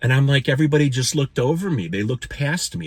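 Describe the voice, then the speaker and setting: With noticeable background noise behind him, a man speaks at a medium pitch. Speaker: spiritual vlogger. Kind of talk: personal storytelling monologue. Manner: fast; animated.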